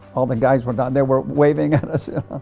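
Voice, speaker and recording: Music plays behind a man's voice. He speaks at medium pitch with ordinary variation. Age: 80s+. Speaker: war veteran. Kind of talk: interview answer.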